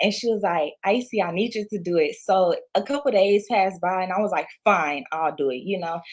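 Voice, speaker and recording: With a Louisiana accent, a woman speaks at a medium pitch and a fairly quick pace, with hardly any pauses. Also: ordinary pitch variation. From Louisiana, moved to Houston, Texas at six. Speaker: entrepreneur, clothing brand owner. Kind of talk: interview.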